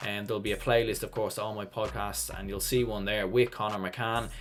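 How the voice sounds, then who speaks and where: A man's fairly quick, monotone delivery in a Dublin accent, flat in intonation. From Ireland, Dublin. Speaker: sports YouTuber, hurling pundit. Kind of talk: solo preview commentary. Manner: casual, conversational.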